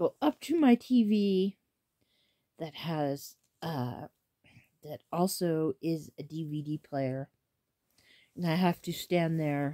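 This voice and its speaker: A woman's very deep, low voice, dark and mellow in tone, very slow with long, frequent pauses, ordinary pitch variation, quiet background. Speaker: vlogger. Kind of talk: casual vlog chat. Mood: animated, a bit complaining. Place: home room. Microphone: phone near.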